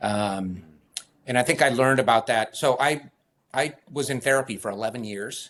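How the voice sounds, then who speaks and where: This man speaks at a moderate pace with an American accent, a medium pitch and ordinary pitch variation. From US West Coast, San Francisco Bay Area. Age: 60s. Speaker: running coach. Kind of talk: podcast interview.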